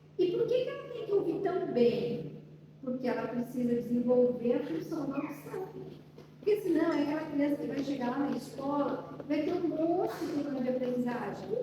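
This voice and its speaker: A soft-spoken woman with a high voice talks at a moderate pace, her pitch swinging very widely. The recording has noticeable background noise and audible room echo. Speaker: speech therapist. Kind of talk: talk to a parents' support group.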